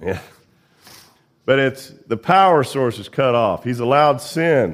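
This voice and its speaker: In a very clean recording with a silent background, a man speaks at a moderate pace with a Midwestern American accent. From central Indiana. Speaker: lay preacher. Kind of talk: sermon. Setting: church.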